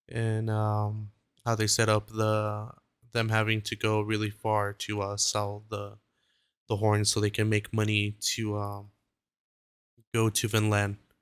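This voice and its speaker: Long, frequent pauses break up the fairly slow, monotone, flat delivery of a man with a fairly low pitch, heard in a very clean recording with a silent background. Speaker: anime commentary youtuber. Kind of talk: casual commentary. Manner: halting, many filler words.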